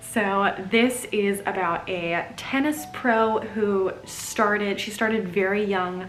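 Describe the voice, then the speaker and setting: A woman with a medium pitch talks at a very slow pace with hardly any pauses, with audible room echo and noticeable background noise. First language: German. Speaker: book vlogger. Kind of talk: casual book review vlog. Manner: animated.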